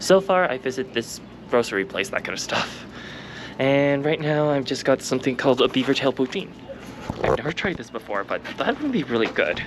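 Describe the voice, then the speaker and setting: With lively intonation and a fairly quick pace, a man talks through noticeable background noise. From Canada. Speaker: travel vlogger. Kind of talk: vlog narration and on-location talk. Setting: outdoors. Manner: loud, shouting over wind.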